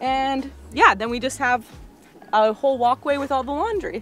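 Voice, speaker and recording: Faint music plays behind a woman with a high-pitched voice. Her pitch varies in an ordinary way, and the sound is dry with no echo. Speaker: travel vlogger. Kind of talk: casual vlog chat. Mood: relaxed and cheerful. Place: boat. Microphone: phone near.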